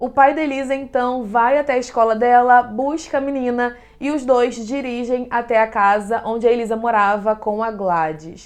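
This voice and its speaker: Speaking at a moderate pace with hardly any pauses, a woman uses a high pitch with ordinary pitch variation. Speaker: true crime podcaster. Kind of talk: true crime narration.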